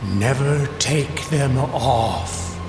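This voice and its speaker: A put-on character voice rings with clear echo over loud music in the background. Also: man, medium pitch for a man. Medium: audio drama. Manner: otherworldly, solemn.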